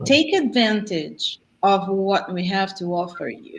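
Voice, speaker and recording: A non-native accent, fairly slow pace and ordinary pitch variation. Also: woman. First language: not English. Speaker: speaker on existential programming. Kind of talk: online group talk, Q&A.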